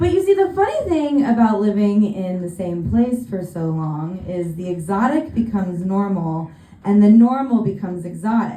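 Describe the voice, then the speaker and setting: With an American accent and a medium pitch, a woman speaks at a moderate pace with lively intonation and hardly any pauses, amid audible room echo. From California. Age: 30s. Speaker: stand-up comedian. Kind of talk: stand-up. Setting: stage with audience.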